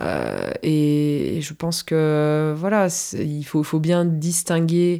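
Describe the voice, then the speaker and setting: Speaking very slowly, a woman with a very deep, low pitch and a dark, mellow tone talks with monotone, flat intonation, in a very clean recording with a silent background. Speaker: film podcast co-host. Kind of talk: casual chat.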